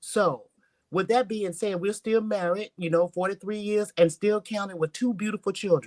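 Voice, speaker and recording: In a dry, close recording with no echo, a woman talks in an unremarkable speaking voice. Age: 60s. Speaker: panel guest. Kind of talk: live panel discussion.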